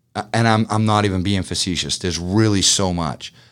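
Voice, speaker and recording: In a Boston accent, a man speaks at a moderate pace with a very deep, low pitch and ordinary pitch variation. The recording is very clean, with a silent background. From Boston, Massachusetts. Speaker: business owner. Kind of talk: interview. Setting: studio.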